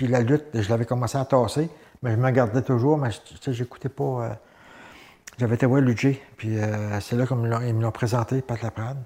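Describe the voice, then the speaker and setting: Somewhat breathy and dark, mellow in tone, a man speaks with long, frequent pauses. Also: medium pitch for a man, fairly even intonation, moderate pace. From Gaspésie, Quebec (Saint-Gabriel). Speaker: former professional wrestler. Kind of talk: interview. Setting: studio.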